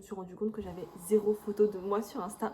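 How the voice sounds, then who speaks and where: Fairly quick, fairly high-pitched speech from a woman against noticeable background noise. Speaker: lifestyle vlogger. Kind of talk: casual vlog talk. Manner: soft-spoken.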